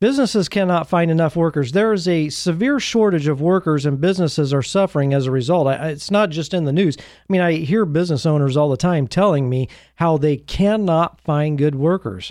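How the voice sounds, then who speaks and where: Over a quiet background, a man talks at a fairly quick pace in an unremarkable speaking voice, fairly high in pitch with ordinary pitch variation. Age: 50s. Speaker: podcast host. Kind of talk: solo commentary on news. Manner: conversational with frequent fillers.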